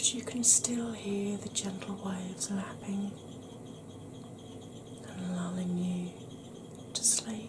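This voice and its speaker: The delivery is very slow, with long, frequent pauses. Noticeable background noise is present. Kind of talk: guided relaxation for sleep.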